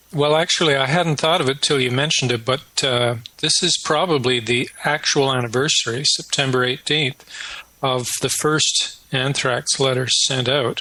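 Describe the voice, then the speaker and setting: A fairly high-pitched man with a Canadian accent at a moderate pace, fairly even intonation and very even loudness, over noticeable background noise. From Canada. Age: 60s. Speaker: retired professor, researcher. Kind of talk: interview.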